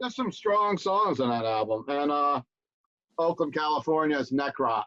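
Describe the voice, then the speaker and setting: With an American accent and a plain, everyday voice, a man speaks at a moderate pace and fairly high pitch. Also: lively intonation. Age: 60s. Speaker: music podcast host and record store owner. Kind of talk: casual chat. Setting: livestream from home studio.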